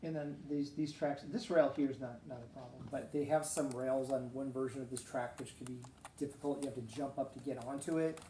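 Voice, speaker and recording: The speech moves at a fairly quick pace with fairly even intonation and big swings in loudness, and the room echo is audible. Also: man, fairly high pitch for a man. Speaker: gaming video host. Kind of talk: casual gameplay commentary. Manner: hesitant, many fillers.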